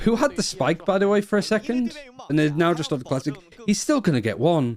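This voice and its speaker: A man with a northern English accent speaks very fast in a high voice, his pitch swinging very widely while his loudness stays very even. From northern England. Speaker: esports caster. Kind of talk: live commentary. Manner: animated.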